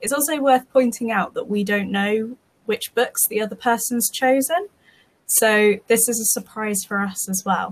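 Speaking with a British accent, a woman uses a fairly high pitch and ordinary pitch variation at a moderate pace, her voice somewhat breathy. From UK. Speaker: podcast co-host. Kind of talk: casual chat. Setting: remote recording.

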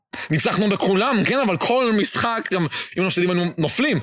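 Over noticeable background noise, a man speaks in a high pitch at a fairly quick pace. His tone is animated and his intonation lively. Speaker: podcast host. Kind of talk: casual chat. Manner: loud.

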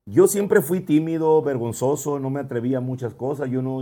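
A man's voice at a medium pitch has a dark, mellow tone and ordinary pitch variation. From Ciudad Obregón, Sonora, Mexico. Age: 30s. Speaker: singer. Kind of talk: casual chat.

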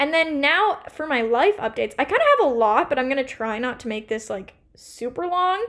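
Over noticeable background noise, a woman with a high pitch and an American accent speaks at a fairly quick pace. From US Pacific Northwest, Portland, Oregon. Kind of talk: casual solo podcast talk. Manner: fast.

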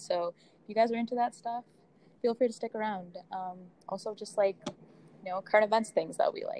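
Using a normal speaking voice, a woman talks at medium pitch and a fairly quick pace. The sound is dry and close with no echo. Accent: American. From Boston, US. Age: 20s. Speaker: podcast host, university student. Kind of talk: casual chat.

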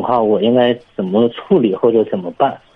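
With a plain, everyday voice, a man talks at a fairly quick pace and medium pitch with ordinary pitch variation. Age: 30s. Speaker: caller, civil servant. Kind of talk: phone-in advice call.

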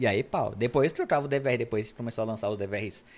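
A man's voice at medium pitch. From São Paulo, Brazil. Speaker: electronic security specialist. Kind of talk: podcast interview. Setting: studio.

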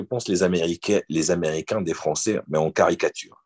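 This man keeps a moderate pace. His voice sounds dry and close, with no echo at all. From Morocco (French family, born in Marseille). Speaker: bodybuilder. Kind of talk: casual interview.

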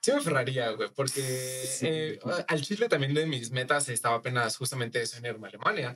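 Speaking at a fairly quick pace, a man with an unremarkable speaking voice keeps a medium pitch and ordinary pitch variation. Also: hardly any pauses. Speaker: podcast guest. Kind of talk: casual chat.

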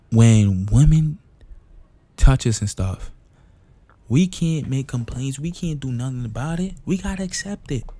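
A man of medium pitch speaks fairly slowly in a dark, mellow, somewhat breathy tone, his pitch swinging very widely between long, frequent pauses. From St. Kitts, Caribbean. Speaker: podcast host. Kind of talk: casual monologue.

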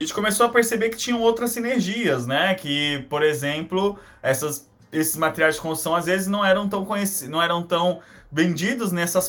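A man is speaking here. His pace is fairly quick. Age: 20s. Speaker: social entrepreneur, company founder. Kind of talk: casual interview.

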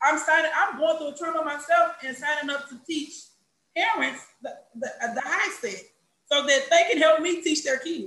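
Moderate-paced speech in an American accent, its pitch varying in an ordinary way. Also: woman, high pitch for a woman. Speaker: special education teacher. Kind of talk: casual chat. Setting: video call. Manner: loud; animated.

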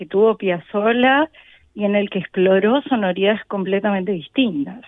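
Ordinary pitch variation in a woman's fairly high-pitched voice. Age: young. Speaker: percussionist. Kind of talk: interview. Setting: backstage.

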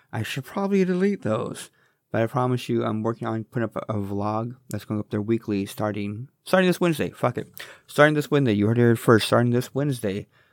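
A man at a very fast pace with lively intonation, dry and close with no echo, very clean recording, silent background. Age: 40s. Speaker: podcast host. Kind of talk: casual solo monologue. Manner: rambling, conversational.

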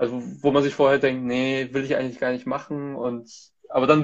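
A man talks in a normal speaking voice. His pitch is fairly high and his pace fairly quick. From Germany, Hamburg. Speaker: content manager, co-host. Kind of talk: casual interview chat, Instagram live.

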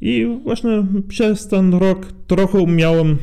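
With a dark, mellow tone, a man speaks at a very slow pace. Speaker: youth forum participant. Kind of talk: interview. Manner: halting.

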